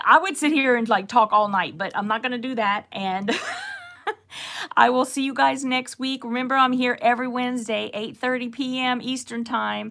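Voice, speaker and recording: With noticeable background noise, a woman in a Southern Louisiana accent speaks at a high pitch, a moderate pace and with ordinary pitch variation. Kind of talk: casual. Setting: online stream.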